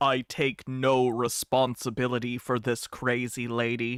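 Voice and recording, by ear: A man's put-on character voice at medium pitch, monotone and flat in intonation, at a moderate pace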